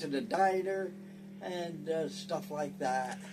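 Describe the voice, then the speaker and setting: With music in the background and audible room echo, a man talks at a fairly slow pace with an American accent and ordinary pitch variation. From US Northeast, northern New Jersey (Clifton). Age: 90s. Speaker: war veteran. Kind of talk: interview. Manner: halting.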